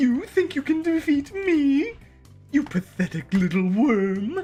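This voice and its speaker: Over clear background music, a put-on character voice moves at a fairly slow pace with a high pitch and very wide pitch swings. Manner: menacing, theatrical.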